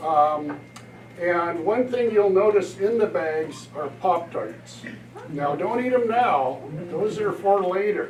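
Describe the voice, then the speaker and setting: A man speaks at a very slow pace in a high pitch, with lively intonation. The room echo is audible and background noise is noticeable. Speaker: disaster preparedness volunteer presenter. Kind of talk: community presentation.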